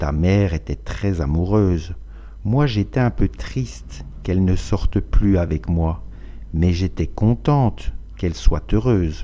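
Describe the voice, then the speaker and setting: A man's very deep, low voice, dark and mellow in tone, at a very slow pace. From France. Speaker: French teacher. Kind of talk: language lesson reading.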